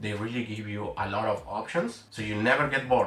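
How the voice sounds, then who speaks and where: The speech comes at a very fast pace with ordinary pitch variation. Background noise is noticeable. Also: man. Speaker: developer advocate and YouTuber. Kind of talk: explainer video.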